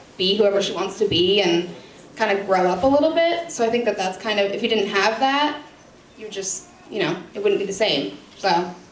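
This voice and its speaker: Over noticeable background noise, a woman with a medium pitch speaks at a moderate pace with lively intonation. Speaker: author and actress. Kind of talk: audience Q&A answer at book signing. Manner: casual, chatty.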